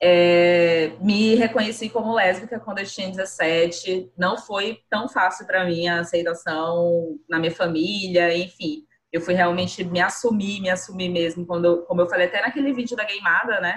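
A somewhat breathy woman speaks with hardly any pauses. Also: medium pitch for a woman, ordinary pitch variation, moderate pace. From Brazil, Boa Vista, Roraima. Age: 20s. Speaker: podcast co-host, designer. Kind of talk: casual chat.

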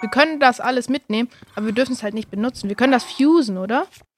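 At a fairly quick pace, a woman speaks in a high, animated voice with ordinary pitch variation, and the sound is dry and close with no echo. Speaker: gaming video creator. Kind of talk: live gameplay commentary.

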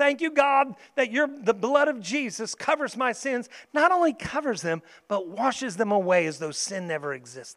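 A man's extremely high-pitched voice with very wide pitch swings at a moderate pace, on a very clean recording with a silent background. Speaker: pastor. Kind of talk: sermon with fervent prayer. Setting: church. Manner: fervent, earnest, impassioned; warm, encouraging.

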